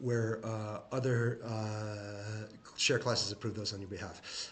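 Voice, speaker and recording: Somewhat breathy, a man speaks with a fairly low pitch. The room echo is audible. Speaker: shareholder commentator. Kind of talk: screen-share tutorial. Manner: fast; halting, many fillers.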